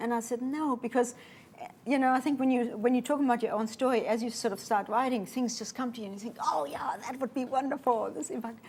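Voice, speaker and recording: In a German accent, a woman speaks at a very fast pace with a high pitch and ordinary pitch variation. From Namibia. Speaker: pilot and author. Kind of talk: interview.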